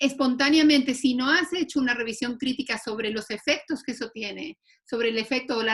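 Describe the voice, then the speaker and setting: This woman's high voice keeps a moderate pace, and her pitch shifts in an ordinary way. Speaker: panelist on gender and masculinities. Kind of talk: online panel discussion.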